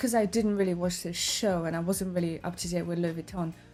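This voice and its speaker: A woman's medium-pitched voice at a fairly quick pace, with music in the background. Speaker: fashion commentator. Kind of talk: casual reaction commentary to camera.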